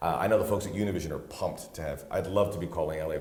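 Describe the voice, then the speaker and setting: Noticeable background noise and audible room echo surround a man talking at a very fast pace. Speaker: soccer play-by-play broadcaster and podcast co-host. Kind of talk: casual chat.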